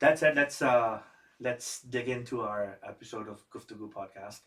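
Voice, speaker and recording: A man with a Pakistani accent speaks with ordinary pitch variation. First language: Urdu. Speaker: podcast host. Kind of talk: podcast interview.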